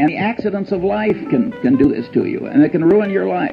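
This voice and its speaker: A man at a fairly quick pace with very wide pitch swings, music in the background. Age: old. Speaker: investor. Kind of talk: lecture talk. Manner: witty.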